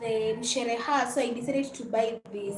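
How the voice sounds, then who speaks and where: A woman speaks with a Kenyan accent. Her voice is high in pitch. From Kenya (Luhya). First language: Luhya. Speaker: YouTuber, lifestyle vlogger. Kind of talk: casual livestream chat while cooking.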